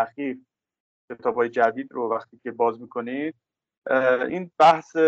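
A plain, everyday voice moves at a moderate pace with ordinary pitch variation and a dry, close sound with no echo. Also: man. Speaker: political science professor. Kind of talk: interview.

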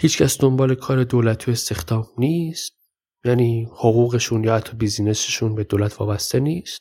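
A man speaks at a fairly quick pace with a medium pitch and ordinary pitch variation. His tone is dark and mellow, and somewhat breathy. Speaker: podcast host and storyteller. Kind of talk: storytelling narration.

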